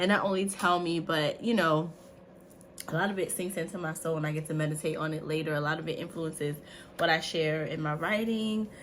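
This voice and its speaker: In an animated tone, a woman speaks at a fairly quick pace. Her pitch is fairly low, and audible room echo surrounds her voice. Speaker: faith and lifestyle vlogger. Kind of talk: casual vlog.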